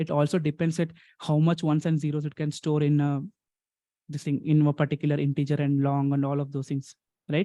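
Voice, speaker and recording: Very fast speech in an Indian accent comes through with a dark, mellow tone and a dry, close sound with no echo. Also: man. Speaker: programming teacher. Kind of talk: online lecture.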